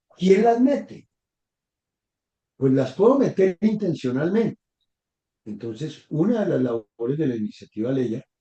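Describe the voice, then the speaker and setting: A man with a dark, mellow tone speaks with very wide pitch swings and long, frequent pauses. The sound is dry and close, with no echo. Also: fairly high pitch for a man. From Bogotá, Colombia. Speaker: professor, guest expert. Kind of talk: interview conversation in a live conference.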